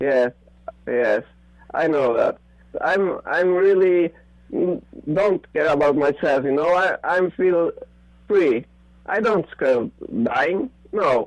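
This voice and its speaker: Long, frequent pauses break up a man's very slow speech, which has a high pitch, lively intonation, and a non-native accent, with noticeable background noise. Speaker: conspiracy theorist. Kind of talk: casual chat. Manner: halting.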